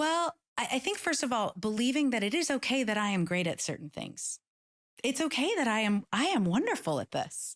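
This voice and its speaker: A woman speaks with a high pitch, very wide pitch swings and an American accent at a fairly quick pace. The recording is very clean, with a silent background and a dry, close sound with no echo. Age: 50s. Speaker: author and keynote speaker. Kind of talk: interview. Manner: fast.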